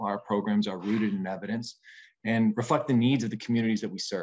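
In an American accent, a man speaks at a fairly low pitch with fairly even intonation. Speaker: nonprofit executive. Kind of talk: legislative testimony. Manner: hesitant, frequent fillers.

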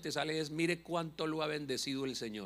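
At a fairly quick pace, a man speaks in an animated tone with ordinary pitch variation. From Colombia, Bucaramanga; Colombia. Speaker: pastor and comedian; pastor, comedian. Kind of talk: sermon. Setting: church. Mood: humorous, passionate. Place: church. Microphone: handheld.

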